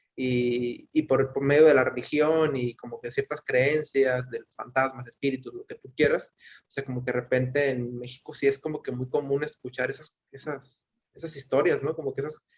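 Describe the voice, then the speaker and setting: A man with a fairly high pitch talks at a moderate pace, sounding somewhat breathy, with a monotone, flat intonation and big swings in loudness. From Mexico. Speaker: book club participant. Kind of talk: casual discussion. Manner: hesitant, many fillers.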